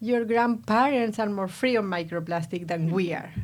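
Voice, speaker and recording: A woman speaks with an Argentine accent. Her pace is fairly slow. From Argentina. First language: Spanish. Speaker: nanotechnology researcher. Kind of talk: podcast interview.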